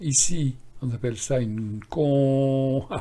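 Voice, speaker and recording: A man speaks at a medium pitch. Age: 70s. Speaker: stock market analyst and trading educator. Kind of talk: screen-share tutorial on chart analysis. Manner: casual, halting with fillers and repetitions.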